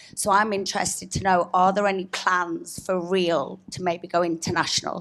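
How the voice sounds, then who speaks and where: Flat, monotone intonation marks a woman with a fairly low pitch talking at a moderate pace in a very clean recording with a silent background. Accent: British. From Britain. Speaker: real estate agent. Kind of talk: audience question.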